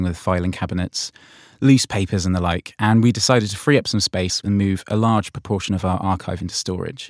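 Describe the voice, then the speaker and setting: On a very clean recording with a silent background and a dry, close sound with no echo, a man talks at a fairly quick pace in a plain, everyday voice. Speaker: podcast host. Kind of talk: interview questions and scripted intro.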